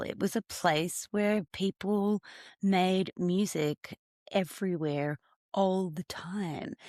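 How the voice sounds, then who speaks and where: In an Australian accent, a woman speaks at a very slow pace. The recording is very clean, dry and close, with no echo and a silent background. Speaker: singer-songwriter. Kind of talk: interview conversation. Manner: halting.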